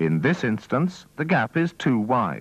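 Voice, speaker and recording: Against a quiet background, a man speaks at a medium pitch with vocal fry. His pitch swings very widely. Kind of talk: vintage training film narration. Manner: formal, measured, instructional.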